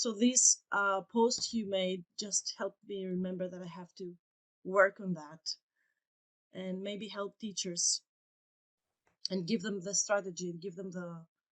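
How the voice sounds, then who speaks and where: A woman with a Greek accent speaks at medium pitch and a fairly slow pace, leaving long, frequent pauses. Her intonation is fairly even, her loudness swings widely, and the sound is dry and close with no echo. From Greece. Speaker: English teacher and coach. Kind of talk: casual podcast conversation. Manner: halting, searching for words.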